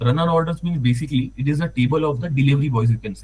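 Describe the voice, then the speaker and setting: Speaking at a very fast pace, a man with an Indian accent sounds somewhat breathy, his pitch sitting in the medium range. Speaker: data analyst. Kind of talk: tutorial. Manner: halting.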